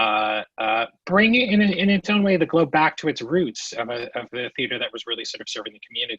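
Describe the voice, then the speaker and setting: A man with a high-pitched voice talks at a fairly quick pace, his pitch swinging very widely, with hardly any pauses. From New Jersey, born in Queens. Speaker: theater producing director. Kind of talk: podcast interview.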